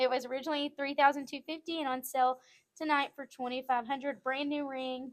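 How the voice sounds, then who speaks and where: With a Southern US accent, a woman talks at a very fast pace in a high pitch, her intonation monotone and flat. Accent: Southern-sounding. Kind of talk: live sales show.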